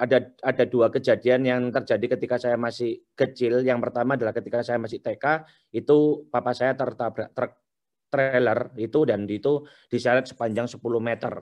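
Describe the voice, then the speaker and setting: A man talks at a moderate pace with a strong Surabaya accent. His medium-pitched voice stays monotone and flat. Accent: thick Surabaya Javanese accent (medok). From Surabaya, East Java, Indonesia. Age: young. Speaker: entrepreneur, business founder. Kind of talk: webinar talk, personal life story.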